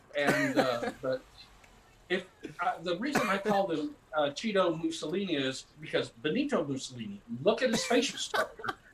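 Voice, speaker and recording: A man's high-pitched voice moves in very wide pitch swings over noticeable background noise. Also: moderate pace. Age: 60s. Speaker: actor and comedian. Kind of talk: casual chat. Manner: rambling, halting with repetitions.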